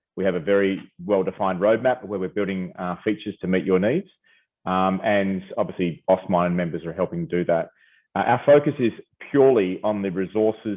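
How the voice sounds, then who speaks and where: A man speaks at a fairly quick pace in a fairly low pitch. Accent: Australian. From Australia, Perth. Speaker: company founder and CEO presenting. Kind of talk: webinar presentation. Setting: video call. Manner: hesitant, many fillers.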